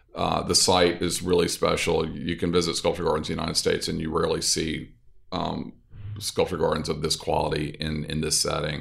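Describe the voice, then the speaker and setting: With a Southern US accent, a man speaks at a fairly quick pace. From US South, North Louisiana. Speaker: architect and interior designer. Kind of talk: interview.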